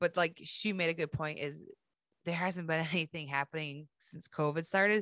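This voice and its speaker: A woman's normal speaking voice with fairly even intonation and a dry, close sound with no echo. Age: 40s. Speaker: podcast host. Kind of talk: casual chat.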